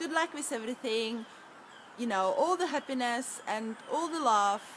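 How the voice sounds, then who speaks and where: With a Czech accent, a woman speaks at a high pitch using ordinary pitch variation. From Czech Republic. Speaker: EFT practitioner. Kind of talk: tutorial.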